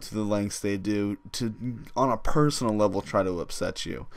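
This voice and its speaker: A man with an unremarkable speaking voice, fairly low in pitch, at a moderate pace with ordinary pitch variation. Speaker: gaming YouTuber. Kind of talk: casual vlog monologue.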